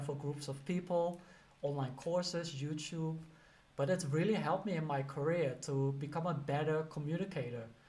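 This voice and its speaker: Audible room echo surrounds a man who speaks with a slight Dutch accent, at a fairly high pitch and a moderate pace. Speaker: career coach and teacher. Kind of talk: casual advice talk to camera. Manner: conversational, many fillers.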